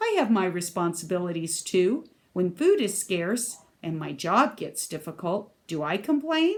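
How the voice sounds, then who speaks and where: This woman puts on a character voice at a medium pitch. She keeps a moderate pace. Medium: read story. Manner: testy, indignant.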